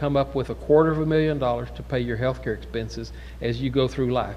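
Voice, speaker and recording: With audible room echo, a man in an American accent talks at a fairly quick pace. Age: 60s. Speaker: physician lecturer. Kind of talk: lecture. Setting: conference symposium with audience. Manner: conversational.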